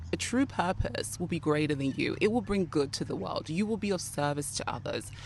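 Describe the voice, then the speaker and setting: A woman speaks with lively intonation. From Nigeria, moved to UK around age 11. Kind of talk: motivational talk to camera.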